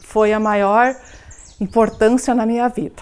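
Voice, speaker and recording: This is a woman's voice. It stays at a medium pitch. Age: 40s. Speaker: documentary interviewee. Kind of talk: personal testimony. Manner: halting.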